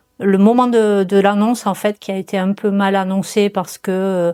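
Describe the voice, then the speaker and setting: In a very clean, dry and close recording with no echo and a silent background, a woman speaks at a fairly slow pace in a medium pitch, her tone dark and mellow and her intonation monotone and flat. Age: 60s. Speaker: cancer patient. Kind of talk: testimony. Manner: halting.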